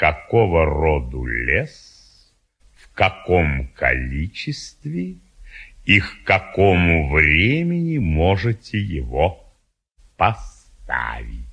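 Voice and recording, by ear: A man uses a put-on character voice, low in pitch with big swings. He speaks at a very slow pace, his tone fairly bright with a slightly husky edge.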